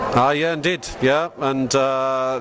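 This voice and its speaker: Over noticeable background noise, a man with a Scottish accent talks fairly slowly at a medium pitch in a monotone, flat delivery. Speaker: hobby society member. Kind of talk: casual interview.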